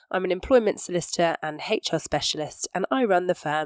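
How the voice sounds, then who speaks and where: Using a British accent, a woman with a fairly low pitch speaks at a moderate pace with lively intonation, in a dry, close sound with no echo. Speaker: employment solicitor and podcast host. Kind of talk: podcast intro; webinar presentation.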